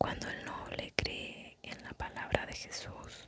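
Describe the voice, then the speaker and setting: Someone whispers at a very slow pace. Noticeable background noise sits behind the whisper. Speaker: ASMR narrator. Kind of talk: ASMR spiritual lecture summary reading. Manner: whispered.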